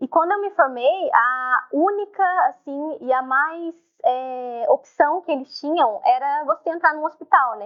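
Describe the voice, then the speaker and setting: A woman speaks at a high pitch and a fairly slow pace. Her intonation is lively. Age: 20s. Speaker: nursing technician and holistic therapist. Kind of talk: casual interview chat.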